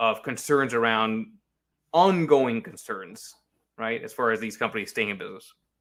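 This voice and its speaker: A man with an American accent and lively intonation, on a very clean recording with a silent background. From New York. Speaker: market analyst. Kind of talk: interview. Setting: live stream. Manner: fast.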